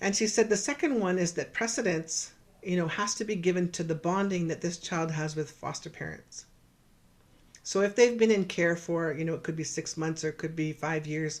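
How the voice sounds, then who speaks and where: A woman with a Canadian accent talks at a fairly low pitch, with ordinary variation in her pitch. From Canada, Saskatchewan (Cree, George Gordon First Nation). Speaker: professor and researcher. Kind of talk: virtual lecture presentation. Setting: virtual presentation. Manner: fast; hesitant, with fillers and repetitions.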